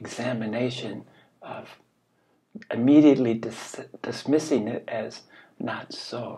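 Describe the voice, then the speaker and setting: This man talks at a very slow pace. His pitch moves in an ordinary way. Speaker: spiritual teacher. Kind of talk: reflective talk, dharma-style teaching. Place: home room. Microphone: webcam.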